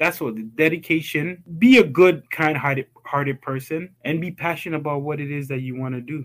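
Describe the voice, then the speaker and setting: A man with a normal speaking voice and a fairly high pitch talks at a moderate pace with hardly any pauses and big swings in loudness. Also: ordinary pitch variation. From Ghana, raised in Toronto, Canada from age 10. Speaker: school founder. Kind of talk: interview.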